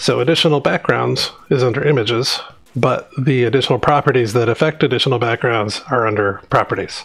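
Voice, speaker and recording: Mumbling at a fairly quick pace, a man keeps a medium pitch with ordinary pitch variation and very even loudness. There is noticeable background noise. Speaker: software developer live streamer. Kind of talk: live coding stream.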